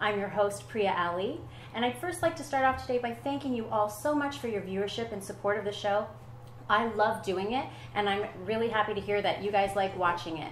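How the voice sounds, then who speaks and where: An animated woman at a fairly quick pace, medium pitch and lively intonation, amid noticeable background noise and audible room echo. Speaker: talk show host. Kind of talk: talk show interview. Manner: fast.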